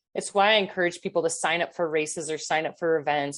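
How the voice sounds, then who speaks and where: Against a quiet background, a woman with an unremarkable speaking voice talks at a fairly low pitch with fairly even intonation. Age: 50s. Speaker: endurance athlete. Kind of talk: interview.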